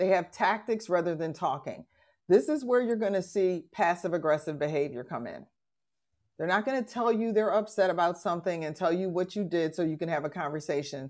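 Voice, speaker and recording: A woman with an unremarkable speaking voice talks at a fairly quick pace and fairly low pitch on a very clean recording with a silent background. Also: lively intonation. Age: 60s. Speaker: podcast host, relationship educator. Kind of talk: casual chat. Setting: live-streamed audio room with audience.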